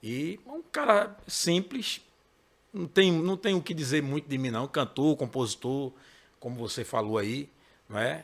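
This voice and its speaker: A man with a Pernambuco accent speaks at a moderate pace, his fairly high pitch moving with lively intonation. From Pernambuco, Brazil (Recife metro area). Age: 40s. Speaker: gospel singer and songwriter. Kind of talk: interview. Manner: casual.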